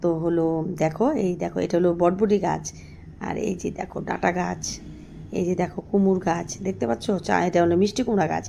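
A woman's fairly low, dark, mellow voice with vocal fry and ordinary pitch variation. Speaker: village vlogger raising goats. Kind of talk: casual vlog talk to viewers. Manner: halting, many filler words.

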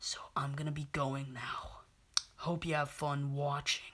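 In a cartoonish character voice at a low-to-middle pitch, the speaker delivers lines in a smug, menacing tone at a fairly slow pace. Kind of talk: puppet show horror parody. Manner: smug, taunting, menacing.

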